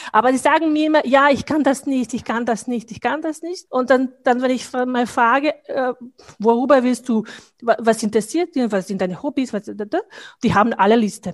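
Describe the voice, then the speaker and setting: With ordinary pitch movement, a woman's high voice comes through over a quiet background. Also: moderate pace. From Bosnia. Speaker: business professional and networking leader. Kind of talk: casual interview conversation. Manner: halting, with fillers and repetitions.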